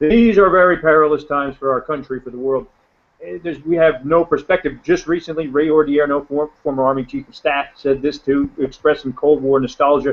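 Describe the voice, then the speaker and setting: Speaking at a fairly quick pace in an American accent, the man has a fairly high pitch and ordinary pitch variation. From New Jersey. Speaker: professor. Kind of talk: panel discussion. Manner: fast.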